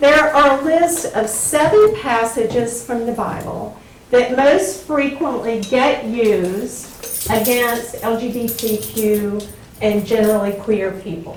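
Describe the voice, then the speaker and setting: Speaking very slowly with a Southern US accent, a woman uses a fairly high pitch and ordinary pitch variation. Audible room echo and noticeable background noise fill the recording. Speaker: Bible professor. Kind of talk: lecture.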